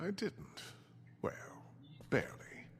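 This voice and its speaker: A man whispering in a put-on character voice. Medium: video game. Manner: smooth, condescending.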